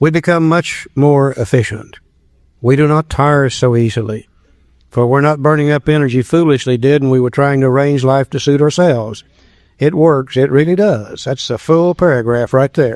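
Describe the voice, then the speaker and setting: A man speaks in an ordinary speaking voice at a fairly high pitch. His pace is moderate, with ordinary pitch variation. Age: 60s. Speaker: recovery workshop speaker. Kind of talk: recovery workshop talk.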